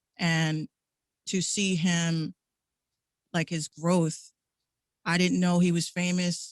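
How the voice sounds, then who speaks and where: A woman with a New York accent, fairly low pitch, monotone, flat intonation, and a quiet background. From New York City, Bronx. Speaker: radio host and music artist. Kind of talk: interview. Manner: halting.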